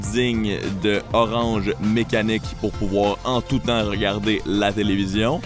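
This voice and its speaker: A man talks at a very slow pace. Behind him, music plays. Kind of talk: comedic voiceover.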